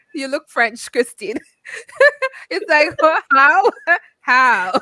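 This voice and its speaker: Raised and projected, a woman's voice has a high pitch, a bright, sharp tone and very wide pitch swings. She speaks at a very slow pace in a dry, close sound with no echo. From Jamaica. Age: 30s. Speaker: activist and foundation director. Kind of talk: casual chat.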